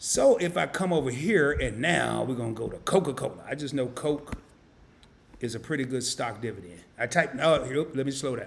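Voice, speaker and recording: Speaking in an American accent, a man has a medium pitch and an animated tone. His pace is moderate. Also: lively intonation. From US South, Arkansas. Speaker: finance YouTuber. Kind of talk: live-stream tutorial. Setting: home studio live stream. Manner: casual, animated.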